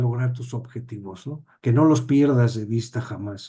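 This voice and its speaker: A man speaks at a medium pitch with a dark, mellow tone. His voice is somewhat breathy, with fairly even intonation and a fairly slow pace. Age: 60s. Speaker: judge and teacher. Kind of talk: interview.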